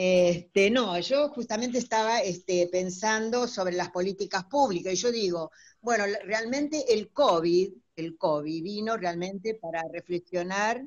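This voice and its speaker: Here a woman speaks at a fairly slow pace. Her medium pitch shows ordinary pitch variation. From Buenos Aires, Argentina. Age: 60s. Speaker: teacher and gerontology student. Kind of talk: audience comment in online talk. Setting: video call from home. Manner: halting, many fillers.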